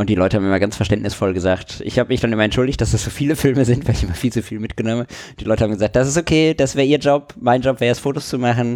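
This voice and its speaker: Very fast speech from a man, medium in pitch, with ordinary pitch variation. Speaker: photography podcast co-host. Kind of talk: casual chat.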